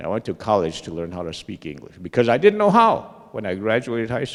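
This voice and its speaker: A man in a Lakota accent at a fairly quick pace, with lively intonation and big swings in loudness. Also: medium pitch for a man. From Lakota community, US Great Plains. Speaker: Lakota language teacher. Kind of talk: panel talk.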